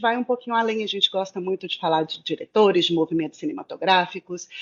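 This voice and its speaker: A woman speaks with a Minas Gerais accent at a medium pitch. Her pitch swings very widely. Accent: Mineiro. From Brazil, Minas Gerais (Belo Horizonte). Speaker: film content creator. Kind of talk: casual chat.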